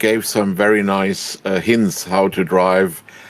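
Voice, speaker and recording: A man with a German accent. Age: 70s. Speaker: sim racing driver. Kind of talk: interview. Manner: halting.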